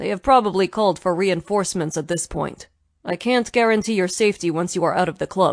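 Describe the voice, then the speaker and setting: A put-on character voice that sounds female, at a middle pitch, moves at a fairly quick pace against a quiet background. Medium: read story. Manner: clipped, authoritative.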